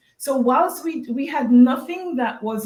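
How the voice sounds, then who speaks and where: A woman speaks at a moderate pace with a Jamaican accent. Her pitch is high and swings very widely. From Jamaica, Westmoreland. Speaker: golf bag company co-founder. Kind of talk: interview storytelling.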